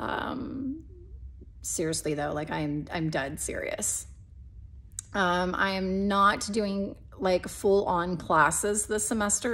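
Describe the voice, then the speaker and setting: At a very slow pace, a woman with a medium pitch speaks using lively intonation. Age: 30s. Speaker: vlogger, mother of eight. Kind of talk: casual vlog update. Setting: filmed at home. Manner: halting, many fillers.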